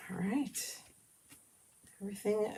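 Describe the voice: A woman speaks with vocal fry. The room echo is audible.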